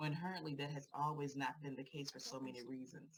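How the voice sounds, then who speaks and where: A woman speaks with an American accent. Her pitch is very deep and low, and her intonation is fairly even. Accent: Virginia accent, noticed by others. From Virginia. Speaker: therapist and LGBTQ advocate. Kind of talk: prepared speech at a rally. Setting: rally panel.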